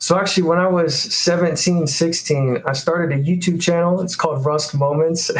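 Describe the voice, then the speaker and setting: He has a normal speaking voice set at a fairly high pitch with ordinary variation. This man speaks at a fairly quick pace. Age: 20s. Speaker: college student and dividend investor. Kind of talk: casual chat.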